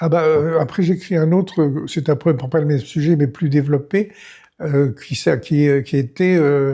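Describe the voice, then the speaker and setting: Somewhat breathy and dark, mellow in tone, a man speaks at a fairly high pitch with ordinary pitch variation. His pace is fairly slow and his loudness very even. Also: very clean recording, silent background. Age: 90s. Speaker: retired film director and writer. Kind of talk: interview.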